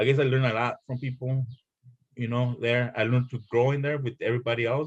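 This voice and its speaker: A man at a very fast pace, somewhat breathy, medium in pitch and monotone, flat in intonation. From El Salvador. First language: Spanish. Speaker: former gang member and author. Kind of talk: casual interview. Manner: halting, many fillers and repetitions.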